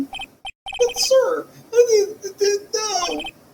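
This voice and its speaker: A man's put-on character voice, shrill and extremely high-pitched. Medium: game stream. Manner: stammering, says "sir" constantly.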